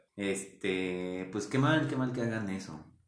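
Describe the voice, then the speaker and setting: With audible room echo, a man speaks at a very slow pace in a fairly low pitch. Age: 20s. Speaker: retail store employee. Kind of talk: casual chat.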